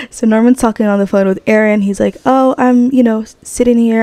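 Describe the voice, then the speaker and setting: Amid noticeable background noise yet with a dry, close sound and no echo, a woman speaks fairly quickly at a medium pitch with fairly even intonation. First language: not English. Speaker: gaming YouTuber. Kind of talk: let's play commentary. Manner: casual, chatty.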